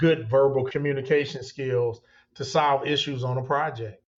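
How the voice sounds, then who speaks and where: A man speaks at medium pitch in a monotone, flat intonation. His voice is somewhat breathy, and his pace is moderate. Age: 60s. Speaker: construction company owner. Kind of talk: interview.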